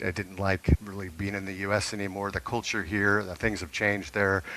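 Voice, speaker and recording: This man has a fairly low pitch and an American accent. His tone is bright and sharp. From US Pacific Northwest. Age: 60s. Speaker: retiree living abroad. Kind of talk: interview.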